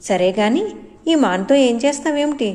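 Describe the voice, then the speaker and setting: High-pitched put-on character voice from a woman. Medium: read story. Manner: chirpy, repetitive.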